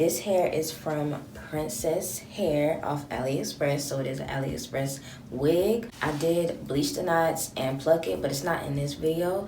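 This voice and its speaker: The voice comes at a moderate pace with ordinary pitch variation. Audible room echo and noticeable background noise fill the recording. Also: woman. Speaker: beauty vlogger. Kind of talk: casual tutorial vlog.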